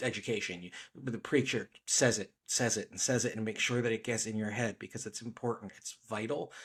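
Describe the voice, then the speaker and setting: On a very clean recording with a silent background, the speech comes at a moderate pace in an American accent. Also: man. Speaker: podcast host. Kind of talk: book discussion podcast.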